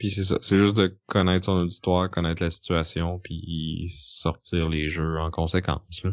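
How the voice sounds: Speaking at a fairly slow pace, a man keeps his low voice with little pitch movement.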